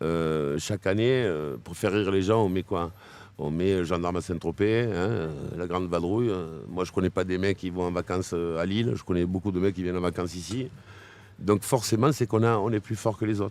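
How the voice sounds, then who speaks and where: In a strong southern French accent, a man speaks at a very deep, low pitch on a very clean recording with a silent background. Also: ordinary pitch variation, moderate pace. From southern France, Arles area. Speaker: DJ. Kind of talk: interview. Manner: animated.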